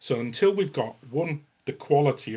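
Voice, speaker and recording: A man speaks with a northern English accent. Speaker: health tech business development executive. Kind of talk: panel webinar discussion. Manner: hesitant, many fillers.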